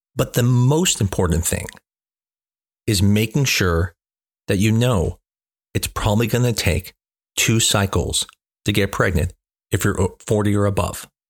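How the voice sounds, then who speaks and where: This man has a fairly low pitch and an American accent, with ordinary pitch variation and very even loudness. He talks at a fairly slow pace with long, frequent pauses, and the recording is very clean with a silent background. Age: 40s. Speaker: fertility doctor. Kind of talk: educational monologue.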